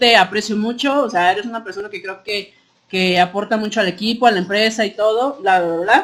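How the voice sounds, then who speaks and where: A woman speaks with a Guadalajara accent. Her pitch variation is ordinary. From Mexico, Guadalajara. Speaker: workplace team member. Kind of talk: casual podcast conversation. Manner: sounds blunt, harsh to others.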